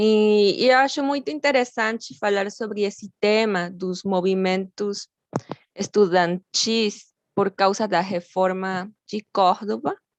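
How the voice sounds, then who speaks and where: A woman with a Mexican accent speaks at a very slow pace, her pitch sitting in the medium range. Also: ordinary pitch variation, dry, close sound with no echo. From Mexico. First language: Spanish (speaking Portuguese). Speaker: graduate student lecturer. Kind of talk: lecture.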